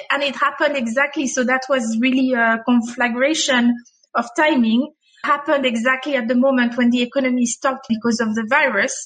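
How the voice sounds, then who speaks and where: A woman's high-pitched voice with a French accent, fairly even intonation, a fairly quick pace and very even loudness. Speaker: HR executive. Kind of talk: interview. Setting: video call.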